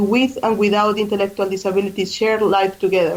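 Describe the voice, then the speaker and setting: Fairly quick in pace, a woman with a Colombian accent speaks at a fairly high pitch. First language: Spanish. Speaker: charity fundraising coordinator. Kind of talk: radio interview. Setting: radio studio.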